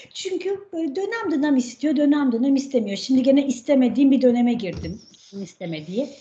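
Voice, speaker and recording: Through noticeable background noise, a woman with a high pitch speaks at a moderate pace, her voice making very wide pitch swings. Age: 40s. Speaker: health coach and cookbook author. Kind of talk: podcast interview.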